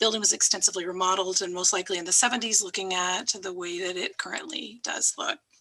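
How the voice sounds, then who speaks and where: With a medium pitch, a woman talks at a fairly quick pace. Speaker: city planning staff. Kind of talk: staff report presentation. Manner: fast.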